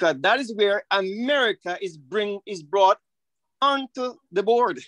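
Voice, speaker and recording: Over a quiet background, a man with a high pitch and lively intonation talks at a moderate pace in a dry sound with no echo. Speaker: church member participant. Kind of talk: Bible study discussion. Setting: video call. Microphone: video call.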